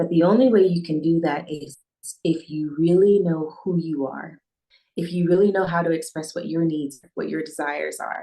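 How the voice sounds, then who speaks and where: With an American accent, a woman speaks fairly quickly in a fairly low pitch, her dark, mellow tone paired with fairly even intonation. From US Midwest, Northeast Ohio. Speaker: intimacy and relationship coach. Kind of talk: podcast interview.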